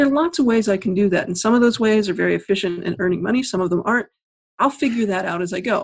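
A woman speaks very fast in a somewhat breathy, medium-pitched voice with ordinary pitch variation. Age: 50s. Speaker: author. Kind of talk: interview.

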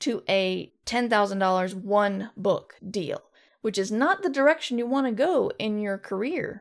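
Captured in a very clean recording with a silent background, a woman uses an unremarkable speaking voice at a fairly high pitch with ordinary pitch variation. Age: 50s. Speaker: podcast host and fiction author. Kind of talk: casual solo talk with live chat. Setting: live stream.

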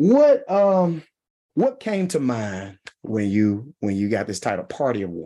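A man speaks at a fairly slow pace in a strong Mississippi accent. His dark, mellow voice swings very widely in pitch. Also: medium pitch for a man. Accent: strong Mississippi Southern twang. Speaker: podcast host. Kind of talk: casual chat. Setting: coffee shop.

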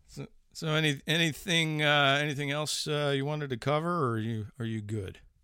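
Speaking in an American accent at a fairly quick pace, a man with a fairly high pitch, ordinary pitch variation and a bright, sharp tone is heard in a very clean recording with a silent background. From Chicago. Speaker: horror podcast host. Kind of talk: casual chat.

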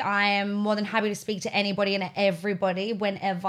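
A woman speaks in an Australian accent. Her pace is very fast. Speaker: reality TV personality. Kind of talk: casual chat.

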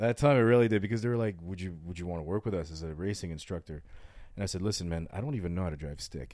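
Very deep and low in pitch, a man talks at a very fast pace in a dark, mellow tone with ordinary pitch variation. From France. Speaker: racing instructor. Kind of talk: casual chat.

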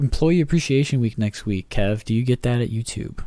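A man talks at a medium pitch with lively intonation and a dark, mellow tone. The recording is very clean, with a silent background. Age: 20s. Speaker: podcast host and banker. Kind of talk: casual chat. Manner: casual, laughs often.

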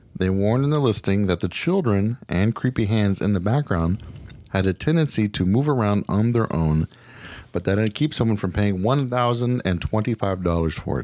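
A man talks at a very even loudness on a very clean recording with a silent background. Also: fairly low pitch for a man, lively intonation, moderate pace. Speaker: podcast host. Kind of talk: casual chat. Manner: animated.

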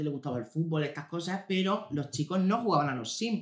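Very fast and high-pitched, a man speaks with a Murcian accent. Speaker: podcast co-host. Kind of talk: casual chat. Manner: animated.

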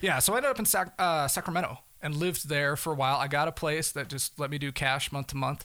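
A man with a bright, sharp tone and fairly high pitch talks at a very fast pace with hardly any pauses and ordinary pitch variation, on a very clean recording with a silent background. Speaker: fugitive turned storyteller. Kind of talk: casual interview.

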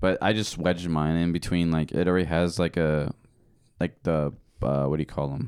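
A man's very deep, low voice, fairly quick, with fairly even intonation. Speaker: podcast co-host. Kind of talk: casual chat. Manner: loud.

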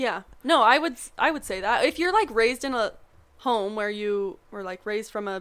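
A woman's fairly high voice with an American accent, an ordinary speaking voice at a fairly quick pace. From Montana. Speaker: pharmacy student. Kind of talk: casual chat.

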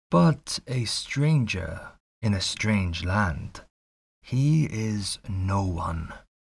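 In a very clean recording with a silent background, a man with a somewhat breathy voice speaks at a very slow pace with lively intonation. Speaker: audiobook narrator. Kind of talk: audiobook narration of a classic novel, with a spoken channel intro. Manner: actor's expressive delivery.

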